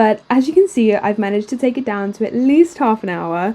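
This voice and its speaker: The speaker moves along at a fairly quick pace. The intonation is lively. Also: woman. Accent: British. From UK. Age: 20s. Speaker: art YouTuber and student. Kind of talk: voiceover narration over drawing video. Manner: casual, chatty.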